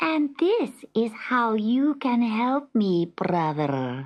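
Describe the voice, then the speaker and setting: Using a put-on character voice, a woman with a fairly high pitch speaks at a very slow pace with very wide pitch swings. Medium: read story. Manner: sly, wheedling.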